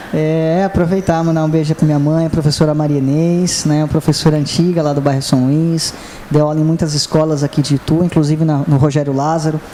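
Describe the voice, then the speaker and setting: Over noticeable background noise, a man with a fairly high pitch talks at a fairly quick pace in a monotone, flat intonation with hardly any pauses. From Itu, São Paulo state, Brazil. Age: 30s. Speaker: city councillor. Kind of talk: interview.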